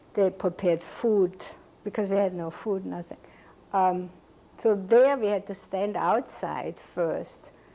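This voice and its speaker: Delivered at a fairly slow pace with fairly even intonation, the speech has a dark, mellow tone and a German accent. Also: woman, medium pitch for a woman. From Cologne, Germany. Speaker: Holocaust survivor. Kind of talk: oral history interview answer.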